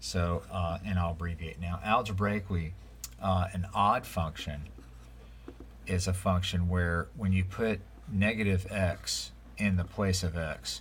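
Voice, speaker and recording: A man with a very deep, low pitch speaks at a fairly slow pace with ordinary pitch variation in audible room echo. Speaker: math teacher. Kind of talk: lecture. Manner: casual, many fillers.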